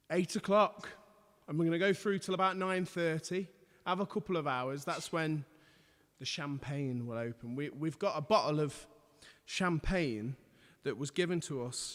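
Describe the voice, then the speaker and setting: On a very clean recording with a silent background, a man with a fairly high pitch talks at a moderate pace with ordinary pitch variation and long, frequent pauses. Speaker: musician, violinist and pianist. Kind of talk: casual live stream chat. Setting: live stream from home lounge. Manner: loud.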